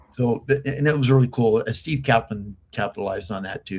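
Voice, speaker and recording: This man has an American accent. There is some breathiness in his voice. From Los Angeles, San Fernando Valley. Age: 70s. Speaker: arm wrestler. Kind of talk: podcast interview. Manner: halting, repeats words.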